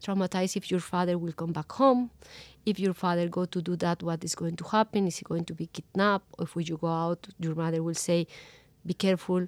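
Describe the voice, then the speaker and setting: Speaking with a Spanish accent, a woman talks at a fairly quick pace in a fairly low pitch. Her intonation is fairly even, and the sound is dry and close with no echo. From Colombia. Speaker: journalist. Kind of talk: interview. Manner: halting.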